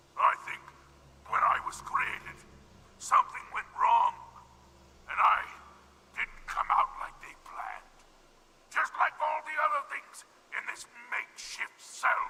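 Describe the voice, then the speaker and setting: Doing a put-on character voice, a man speaks at an extremely high pitch. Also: long, frequent pauses. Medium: video game. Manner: polite, halting, articulate.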